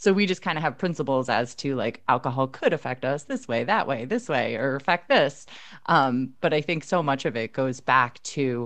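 Against a quiet background, the speech moves at a fairly quick pace. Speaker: nutritionist and running podcast co-host. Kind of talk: casual chat.

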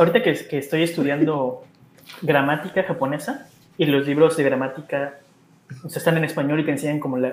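A man speaks at a very fast pace, his pitch fairly high. Noticeable background noise sits behind him. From Mexico. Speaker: Mexican expat living in Japan. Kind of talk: casual chat.

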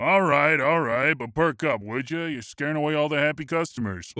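A put-on character voice is used throughout. Its pace stays moderate. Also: man, fairly high pitch for a man. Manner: folksy, friendly.

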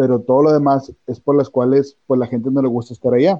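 A man talks fairly quickly, his medium-pitched voice carrying monotone, flat intonation. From Monterrey, northern Mexico. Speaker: business administration graduate. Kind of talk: casual chat.

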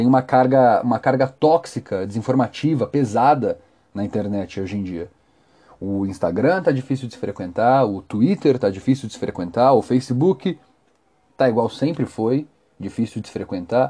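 In a Brazilian accent, a man speaks at a moderate pace with a medium pitch, lively intonation and a dark, mellow tone. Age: 20s. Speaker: podcast host. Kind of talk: solo commentary podcast. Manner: talkative.

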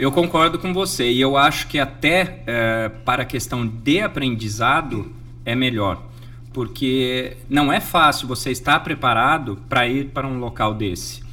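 Here is a man with an ordinary speaking voice at medium pitch. He goes at a fairly slow pace with ordinary pitch variation. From Brazil, Jundiaí, São Paulo state. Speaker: sailor, NGO founder and speaker. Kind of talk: interview.

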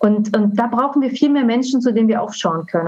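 Speaking in an unremarkable speaking voice, a woman uses a fairly high pitch and ordinary pitch variation. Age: 40s. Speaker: coach. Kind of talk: interview.

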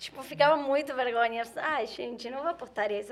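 In an Argentine accent, a woman talks with a high pitch. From Argentina. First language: Spanish (speaking Portuguese). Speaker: travel content creator. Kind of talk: casual chat.

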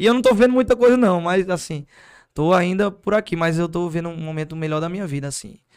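Quick-paced speech comes from a man with a high pitch and ordinary pitch variation. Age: 20s. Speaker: singer. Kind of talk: casual chat.

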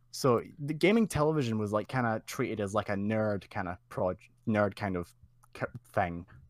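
The speaker has a Scottish accent and a moderate pace. The recording is very clean with a silent background, in a dry, close sound with no echo. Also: man, fairly low pitch for a man, ordinary pitch variation. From Scotland. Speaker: community member, guest. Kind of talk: casual interview chat. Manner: laid-back, chatty.

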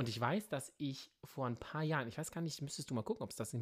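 The speaker is a man with an ordinary speaking voice. His pitch is medium, with ordinary variation. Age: 30s. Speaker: podcast co-host. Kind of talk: casual chat. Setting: remote recording.

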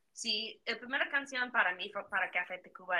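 She has a non-native accent. The voice belongs to a woman. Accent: non-native Spanish speaker. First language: English (speaking Spanish). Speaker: podcast guest. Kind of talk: casual chat. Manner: halting.

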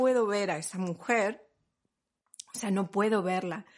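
A woman speaks with an Argentine accent. Her pitch is fairly high, with ordinary variation. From Argentina. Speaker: podcast host, mother and pregnancy professional. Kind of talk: casual chat.

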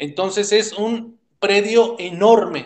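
A man's voice, high in pitch. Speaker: psychologist and cultural researcher. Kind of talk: casual interview. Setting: call.

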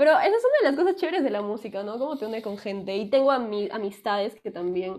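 A woman talks at a very fast pace in a fairly high, animated voice with lively intonation. She leaves hardly any pauses. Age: 20s. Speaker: music student and singer. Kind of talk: casual chat. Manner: talkative.

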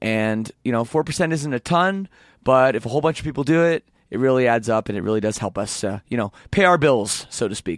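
An unremarkable speaking voice from a man at medium pitch, moderate pace and lively intonation, dry and close with no echo, in a very clean recording with a silent background. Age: 30s. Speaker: podcast host and band lead singer. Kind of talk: casual interview. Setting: backstage at a concert venue.

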